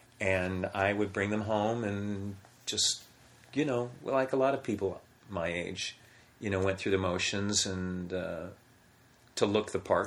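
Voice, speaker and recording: A man speaks at a fairly slow pace in a fairly low pitch, with fairly even intonation and long, frequent pauses. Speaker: voiceover actor. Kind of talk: casual interview chat. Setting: in person at home.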